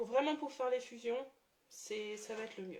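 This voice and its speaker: Speaking at a fairly slow pace, a woman has a high voice with a dark, mellow tone. Her intonation is lively. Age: 30s. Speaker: watercolour artist and graphic designer. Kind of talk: tutorial. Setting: live stream. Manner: hesitant, many fillers.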